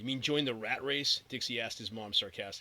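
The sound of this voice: The speaker reads in an unforced voice, with ordinary pitch variation.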